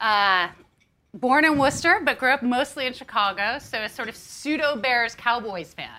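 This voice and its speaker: In a raised, projected voice, a woman speaks at a moderate pace with high pitch, a bright, sharp tone and lively intonation. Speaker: magazine editor and interviewer. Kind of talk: live interview. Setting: stage with audience.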